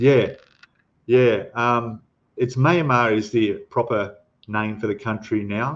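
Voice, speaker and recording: A man talks at a very slow pace with an Australian accent. His pitch varies in an ordinary way. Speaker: scale model ship builder and youtuber. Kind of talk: livestream chat reading viewer comments. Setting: livestream. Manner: casual, hesitant with fillers.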